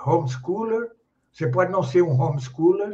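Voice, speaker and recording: With a Brazilian accent, a man speaks at a high pitch with lively intonation. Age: 70s. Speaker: philosopher and grammarian. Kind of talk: interview. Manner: halting.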